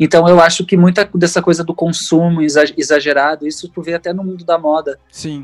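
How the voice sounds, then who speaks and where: A man's high-pitched, monotone, flat voice at a moderate pace, hardly any pauses, big swings in loudness, and a dry, close sound with no echo. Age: 30s. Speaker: singer, multi-instrumentalist and illustrator. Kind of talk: casual interview conversation.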